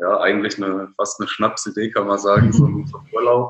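This man talks at a fairly quick pace with a medium pitch. His intonation is monotone and flat. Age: 20s. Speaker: online shop co-founder, IT background. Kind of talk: casual interview.

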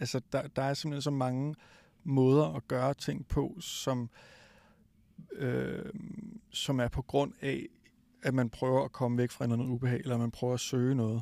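In a dark, mellow tone, the speaker talks at a fairly slow pace with long, frequent pauses. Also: man, ordinary pitch variation. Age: 40s. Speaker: physiotherapist. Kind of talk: interview. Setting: recorded at a high school.

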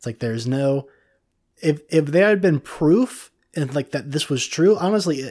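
Speaking at a moderate pace with an American accent, a man has a fairly high pitch and a dark, mellow tone. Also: very clean recording, silent background. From Cincinnati, Ohio, US Midwest. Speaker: podcast co-host. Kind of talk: casual chat.

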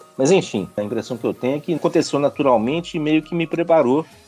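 Music plays in the background while a man speaks with lively intonation. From Brazil, Minas Gerais (Nova Lima). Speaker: mobility industry executive. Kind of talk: podcast interview.

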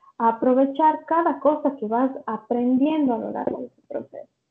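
With music in the background, a woman speaks in a high pitch with ordinary pitch variation. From Ecuador. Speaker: clinical psychologist. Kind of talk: interview.

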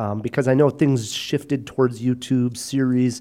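A man speaks slowly-ish, at a fairly slow pace, with a medium pitch. His tone is dark and mellow, and the recording is very clean with a silent background. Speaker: film podcast host. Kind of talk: casual chat. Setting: studio.

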